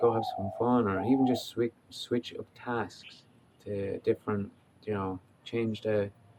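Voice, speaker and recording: With an Irish accent, a man talks in a relaxed tone using monotone, flat intonation. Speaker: life coach. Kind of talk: casual talk to camera. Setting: outdoors. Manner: relaxed, hesitant.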